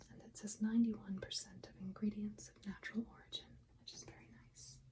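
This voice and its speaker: Whispering softly, the speaker goes at a fairly quick pace. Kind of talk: ASMR roleplay, perfume shop consultation. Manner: soft-spoken, whispery.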